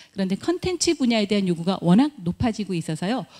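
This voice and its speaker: A woman's somewhat breathy voice at medium pitch, dark and mellow in tone, with a dry, close sound and no echo. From Chungcheong, Korea. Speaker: university admissions director. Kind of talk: admissions presentation. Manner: formal.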